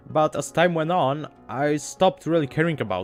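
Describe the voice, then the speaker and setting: A man speaks with music in the background. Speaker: gaming video essayist. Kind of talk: video essay narration.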